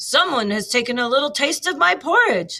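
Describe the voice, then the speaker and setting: Putting on a character voice, a woman growls in a raspy, high-pitched tone at a moderate pace, her pitch swinging very widely. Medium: read story. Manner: growling.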